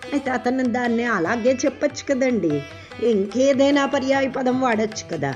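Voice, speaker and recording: A woman's high-pitched voice with ordinary pitch variation over music in the background. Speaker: devotional explainer. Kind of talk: devotional explanation of a hymn. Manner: conversational, addressing the audience.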